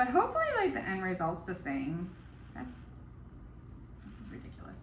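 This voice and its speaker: A woman mumbles quietly, with audible room echo and noticeable background noise. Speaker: home baker, baking vlogger. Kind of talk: casual baking tutorial vlog. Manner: mumbling; alternates too loud and too quiet.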